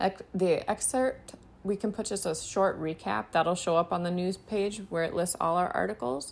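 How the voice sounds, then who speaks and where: A woman speaks in a normal speaking voice at medium pitch and a moderate pace, with ordinary pitch variation. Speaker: web design instructor. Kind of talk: tutorial.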